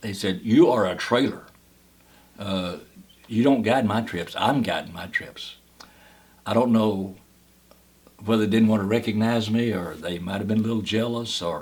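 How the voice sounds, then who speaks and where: Speaking with a Kentucky accent, a man with a fairly low pitch keeps a moderate pace and fairly even intonation, with long, frequent pauses. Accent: Southern US, Kentucky. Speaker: cave guide, park ranger. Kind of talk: oral history interview answer.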